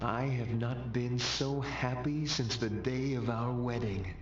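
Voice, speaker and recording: A man uses a put-on character voice at a medium pitch and a fairly slow pace. Loud background noise and a slight echo are present. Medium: machinima. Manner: earnest, formal.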